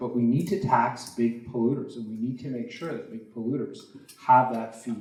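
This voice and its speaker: A man speaks at a medium pitch with a Canadian accent. Audible room echo is present. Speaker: politician, provincial legislator. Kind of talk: candidates debate answer. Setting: stage with audience. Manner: loud.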